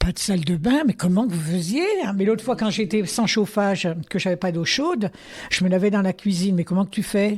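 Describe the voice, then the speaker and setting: A woman's somewhat breathy, medium-pitched voice at a fairly quick pace with ordinary pitch variation. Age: 80s+. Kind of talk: interview answer. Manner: lively, hesitant.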